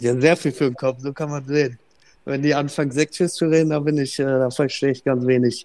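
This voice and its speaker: Fairly quick and monotone, a man speaks with flat intonation at a fairly high pitch. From Bremerhaven, northern Germany. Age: young. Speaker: ice hockey player. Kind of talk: interview. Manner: halting, many filler sounds.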